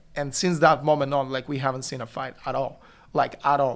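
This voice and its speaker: The recording is very clean with a silent background. A man speaks at a medium pitch with monotone, flat intonation. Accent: Bulgarian. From Bulgaria. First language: Bulgarian. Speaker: youth pastor. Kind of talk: testimony.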